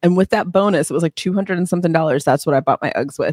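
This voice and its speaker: An animated tone with ordinary pitch variation, in a dry, close sound with no echo. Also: woman. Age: 30s. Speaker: podcast host, couples money coach. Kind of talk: casual chat.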